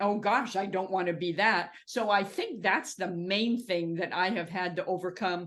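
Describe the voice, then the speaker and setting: Using hardly any pauses, a woman with an American accent speaks at a medium pitch and moderate pace with fairly even intonation. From US West Coast (Southern California, Orange County). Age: 60s. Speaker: author and publishing consultant. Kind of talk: podcast interview.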